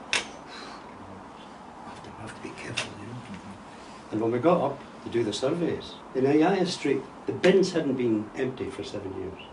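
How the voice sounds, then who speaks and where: A man speaks in a medium pitch with lively intonation and big swings in loudness. Noticeable background noise and audible room echo are present. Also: moderate pace. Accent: Scottish. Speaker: retired architect. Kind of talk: interview conversation.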